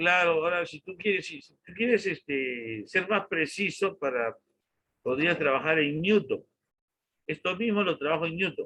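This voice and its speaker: At a fairly slow pace, a man speaks in a high, bright and sharp tone with lively intonation and big swings in loudness. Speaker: university engineering lecturer. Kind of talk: online lecture.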